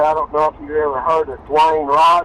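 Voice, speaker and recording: A man with a fairly high pitch speaks at a moderate pace through noticeable background noise. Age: 70s. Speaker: artifact collector. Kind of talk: casual conversation.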